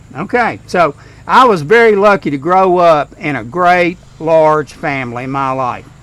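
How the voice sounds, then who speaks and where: With a Kentucky accent, a man speaks fairly slowly at a fairly high pitch and with lively intonation. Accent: Southern US (Kentucky). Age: 60s. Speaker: retired school principal, eulogy speaker. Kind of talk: funeral eulogy. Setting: graveside service.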